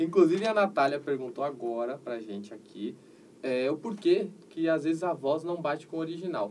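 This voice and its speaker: A plain, everyday voice: a man, fairly high-pitched, with lively intonation at a moderate pace. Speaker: geek channel host. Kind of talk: interview. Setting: livestream.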